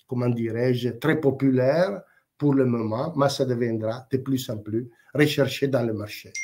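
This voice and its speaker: Speaking with a non-native accent, a man of medium pitch keeps fairly even intonation at a fairly slow pace. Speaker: industrial product manager. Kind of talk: webinar presentation. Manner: halting, hesitant.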